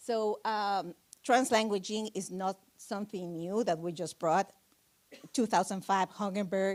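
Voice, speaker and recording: Delivered at a fairly slow pace with ordinary pitch variation and a strong Mexican accent, the speech is on a very clean recording with a silent background. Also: woman. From Mexico City. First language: Spanish. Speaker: bilingual educator. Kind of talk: panel presentation.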